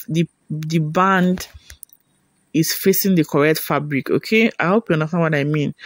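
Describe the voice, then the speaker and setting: On a very clean recording with a silent background and a dry, close sound with no echo, a man with a non-native accent speaks at a high pitch and a moderate pace, with ordinary pitch variation. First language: not English. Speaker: sewing tutorial creator. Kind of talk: tutorial. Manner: casual, chatty.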